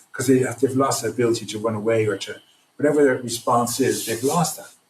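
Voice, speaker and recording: Fairly quick speech in an Irish accent, somewhat breathy, with fairly even intonation. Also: man. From Ireland. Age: 60s. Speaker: trauma recovery program founder. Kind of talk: podcast interview. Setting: remote podcast from home at night.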